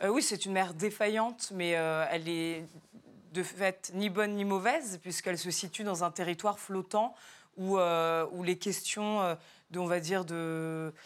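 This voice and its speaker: A woman with a plain, everyday voice speaks at a medium pitch and a fairly slow pace, her intonation fairly even, in a very clean recording with a silent background. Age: 30s. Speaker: novelist. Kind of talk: TV talk show interview.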